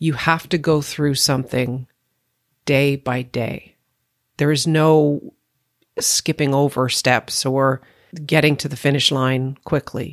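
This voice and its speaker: In a Canadian accent, a woman talks at a very slow pace with long, frequent pauses, her very deep, low voice flat and monotone, the sound dry and close with no echo on a very clean recording against a silent background. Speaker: podcast host and former actor. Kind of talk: interview.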